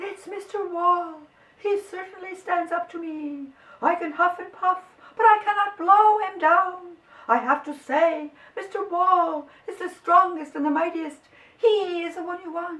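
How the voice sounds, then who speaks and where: Squeaky and extremely high in pitch, a put-on character voice moves along at a moderate pace. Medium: read story.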